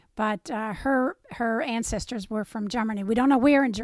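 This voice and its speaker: With an Appalachian accent, a woman speaks at a fairly quick pace and a fairly high pitch. Her pitch varies in an ordinary way, and the recording is very clean, with a silent background. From southern West Virginia. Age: 70s. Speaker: interviewee recounting family history. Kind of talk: oral history interview.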